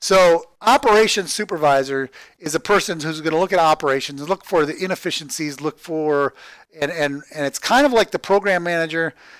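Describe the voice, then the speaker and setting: A man's high-pitched voice comes through on a very clean recording with a silent background. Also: ordinary pitch variation, fairly quick pace. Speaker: livestreamer. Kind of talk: livestream monologue. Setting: live stream. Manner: stuttering; halting, repetitive.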